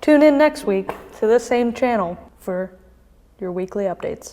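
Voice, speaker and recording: Noticeable background noise sits behind a soft-spoken woman with a fairly high pitch. She talks fairly quickly, with ordinary pitch variation. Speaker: fitness coach. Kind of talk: casual chat.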